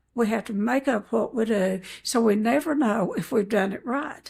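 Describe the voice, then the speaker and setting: Her fairly high voice carries vocal fry as this woman talks at a fairly slow pace. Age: 80s+. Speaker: eating disorder recovery counselor. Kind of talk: interview.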